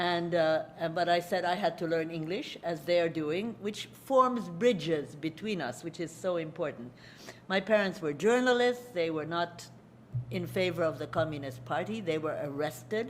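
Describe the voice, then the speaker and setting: Audible room echo surrounds a woman with a Hungarian accent who speaks at a moderate pace and a fairly low pitch with lively intonation. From Hungary, then USA. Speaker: lecturer. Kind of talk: lecture. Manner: halting.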